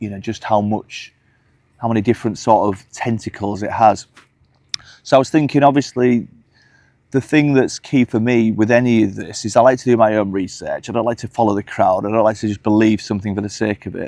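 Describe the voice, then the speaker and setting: With a Hull accent, a man speaks at a medium pitch in a dark, mellow tone. His pace is fairly quick, his intonation fairly even, and his loudness swings widely. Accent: Hull twang. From northern England, Hull. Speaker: UFO commentator vlogger. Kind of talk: casual vlog monologue. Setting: outdoors walking the dogs. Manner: hesitant with fillers.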